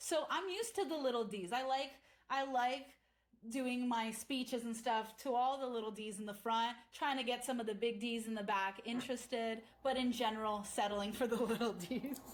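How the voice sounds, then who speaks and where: A woman speaks in a high, animated voice. Her pace is moderate and her pitch varies in an ordinary way. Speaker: podcast host. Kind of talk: casual chat.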